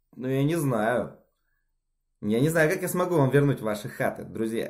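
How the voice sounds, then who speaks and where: Against a quiet background, a man speaks at a fairly high pitch with lively intonation. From Siberia, Russia (Novosibirsk); Russia. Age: 20s. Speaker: amateur tennis player and sports bettor. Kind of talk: self-recorded video application. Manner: halting, many filler sounds. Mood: self-ironic, lightly joking. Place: home room. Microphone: phone near.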